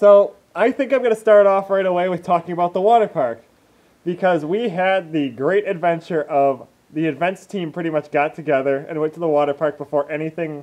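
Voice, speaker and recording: A man talks loudly at a fairly quick pace. His pitch is high, with ordinary variation. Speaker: furry podcast co-host. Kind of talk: casual chat. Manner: animated.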